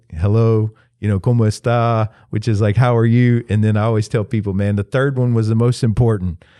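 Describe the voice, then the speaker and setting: Over a quiet background, a man with a Southern US accent talks at a moderate pace in a fairly low pitch, his dark, mellow tone carrying fairly even intonation. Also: very even loudness. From US South, upstate South Carolina. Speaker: pastor. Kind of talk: casual interview. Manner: casual, filler-heavy.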